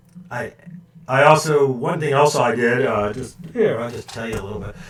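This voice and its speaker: A man with an American accent, medium pitch and lively intonation, at a moderate pace, in audible room echo. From California, San Francisco Bay Area. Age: 60s. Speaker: woodworking YouTuber, retired ship engineer. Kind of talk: live stream chat. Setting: live stream at home computer. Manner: halting, many fillers and repeats.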